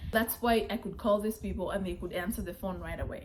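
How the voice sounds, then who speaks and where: A woman's medium-pitched voice with a Kenyan accent and ordinary pitch variation. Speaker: vlogger. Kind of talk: casual chat.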